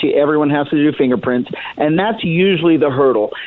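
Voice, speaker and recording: The voice is a man's, fairly high in pitch. Noticeable background noise is present. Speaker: county sheriff. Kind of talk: radio interview.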